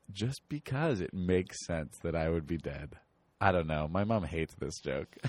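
A very deep, low male voice with an American accent, ordinary pitch variation, a moderate pace and a quiet background. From Chicago suburbs, US Midwest. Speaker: improv comedian. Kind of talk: casual chat.

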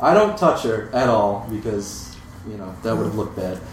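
A man with an American accent at a moderate pace, with noticeable background noise. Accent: Midwestern American, formerly British. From Europe, then US Midwest. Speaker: lawyer. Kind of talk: storytelling live. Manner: nervous.

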